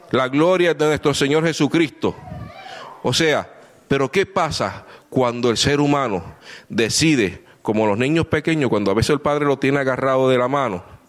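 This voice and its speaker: At a moderate pace, a man speaks in a fairly high pitch with ordinary pitch variation and very even loudness. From Puerto Rico. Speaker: visiting preacher. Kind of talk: sermon. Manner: animated.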